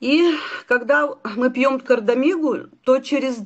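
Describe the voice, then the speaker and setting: A woman talks in a high pitch, her intonation lively. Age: 60s. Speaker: doctor. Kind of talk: sales pitch.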